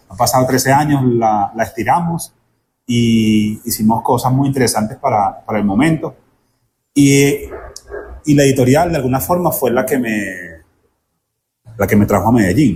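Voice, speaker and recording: A man with a Venezuelan accent speaks in a dark, mellow, somewhat breathy tone at medium pitch, with ordinary pitch variation and very even loudness. His pace is moderate, broken by long, frequent pauses. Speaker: bookseller. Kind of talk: interview answer.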